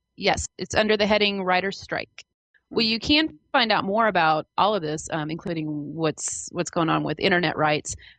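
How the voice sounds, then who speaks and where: Dry and close with no echo, a woman with an American accent talks at a moderate pace, fairly low in pitch with ordinary pitch variation and vocal fry. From US Midwest, Kansas. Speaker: podcast co-host, fan site contributor. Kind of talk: podcast news update.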